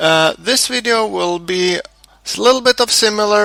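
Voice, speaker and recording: With a non-native accent and lively intonation, a man speaks at a fairly slow pace against noticeable background noise. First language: not English. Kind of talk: game tutorial commentary. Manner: stuttering, hesitant.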